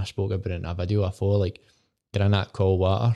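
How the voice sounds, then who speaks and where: Over a quiet background, a man with a west of Scotland accent speaks in a dark, mellow tone at a fairly low pitch with monotone, flat intonation. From Scotland, Port Glasgow (Inverclyde). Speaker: founder of a gambling prevention service. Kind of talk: casual chat.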